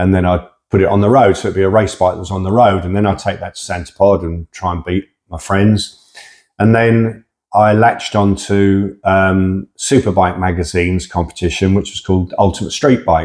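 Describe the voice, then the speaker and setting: A man with a southern English accent speaks at a moderate pace with fairly even intonation and a fairly low pitch. The recording is very clean, with a silent background. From England, Hertfordshire. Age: 60s. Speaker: drag racer. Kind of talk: interview. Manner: casual, hesitant with fillers.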